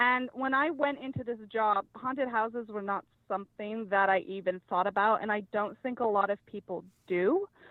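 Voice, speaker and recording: A woman speaks in a fairly high pitch with a slight Australian accent and ordinary pitch variation. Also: moderate pace. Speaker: house cleaner, podcast guest. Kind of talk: casual interview storytelling. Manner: many fillers and hesitations.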